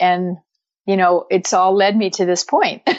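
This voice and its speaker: Here a woman speaks at a moderate pace. Her pitch is medium. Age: 60s. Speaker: health coach and energy healer. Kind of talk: interview. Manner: halting.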